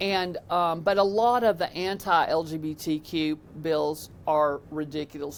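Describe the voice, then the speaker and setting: Speaking with an East Tennessee accent, the voice moves at a fairly slow pace with ordinary pitch variation. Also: woman. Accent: US Southern (East Tennessee). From Tennessee, Knoxville. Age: 60s. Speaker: state legislator. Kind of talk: podcast interview. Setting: legislative office building. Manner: animated.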